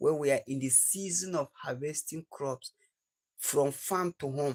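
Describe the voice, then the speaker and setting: Somewhat breathy and fairly high in pitch, a man with a Nigerian accent speaks with ordinary pitch variation in a dry, close recording with no echo. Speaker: livestreamer. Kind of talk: casual live stream chat. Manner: repetitive.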